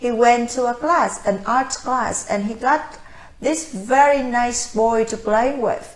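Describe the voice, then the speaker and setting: Audible room echo surrounds a very slow speaker in a Vietnamese accent, whose pitch varies in an ordinary way. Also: woman. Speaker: language-learning coach and mother. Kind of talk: casual talk to camera. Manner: hesitant, with fillers.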